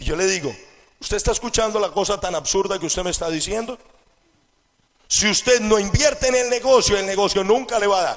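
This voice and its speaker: A man talks at a fairly quick pace with a high pitch. His pitch varies in an ordinary way. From Colombia. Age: 20s. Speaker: network marketing entrepreneur. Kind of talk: motivational seminar talk.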